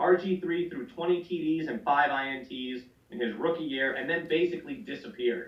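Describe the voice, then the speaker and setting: With lively intonation and a fairly quick pace, a man's voice comes through noticeable background noise. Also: fairly high pitch for a man. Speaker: fantasy football podcast host. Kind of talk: reading aloud; casual podcast banter. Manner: animated.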